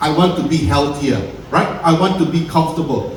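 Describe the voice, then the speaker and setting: A man speaks at a moderate pace, with noticeable background noise and audible room echo. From Singapore. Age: 60s. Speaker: wellness business founder. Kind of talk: talk to an audience.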